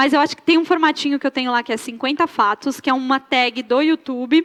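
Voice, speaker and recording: A woman talks at a fairly quick clip. Her voice is high and her intonation stays fairly even. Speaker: YouTuber teaching about art. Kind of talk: interview on stage at a fashion talk event. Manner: casual, hesitant with fillers.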